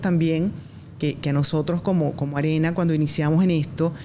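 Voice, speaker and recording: A woman's fairly low voice at a moderate pace, over noticeable background noise. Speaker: esports arena general manager. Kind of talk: podcast guest talking about the esports industry. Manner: fluent, earnest, with frequent fillers.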